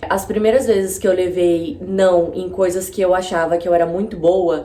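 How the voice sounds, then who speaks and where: The speaker has fairly even intonation and a moderate pace, with audible room echo and noticeable background noise. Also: woman. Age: 20s. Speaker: YouTuber. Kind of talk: casual vlog monologue. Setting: home video with natural light. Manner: conversational, informal.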